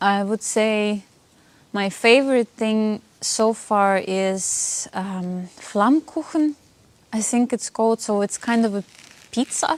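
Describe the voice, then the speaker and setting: The woman talks at a very slow pace, her pitch fairly high. Ordinary pitch variation comes through a dry, close sound with no echo. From Russia (Siberia). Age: 20s. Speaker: interview guest. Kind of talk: casual interview chat.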